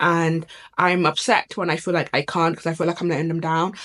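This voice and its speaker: A woman with a British accent, fairly low in pitch. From UK. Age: 20s. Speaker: lifestyle YouTuber. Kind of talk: casual talk to camera.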